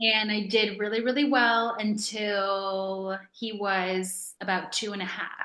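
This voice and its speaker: Audible room echo surrounds a woman's bright, sharp tone at medium pitch. She talks at a fairly slow pace with fairly even intonation and big swings in loudness. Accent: American. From New York. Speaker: author. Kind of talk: interview. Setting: video call.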